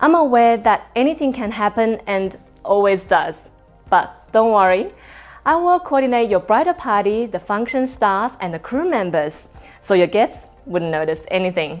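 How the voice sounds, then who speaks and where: At a moderate pace, a fairly high-pitched woman speaks with very wide pitch swings as faint music plays in the background. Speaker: wedding MC. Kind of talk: promotional self-introduction to camera. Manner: elegant, composed. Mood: warm, friendly, confident. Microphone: lapel.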